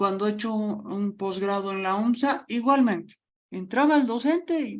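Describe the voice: A woman at medium pitch and moderate pace, with ordinary pitch variation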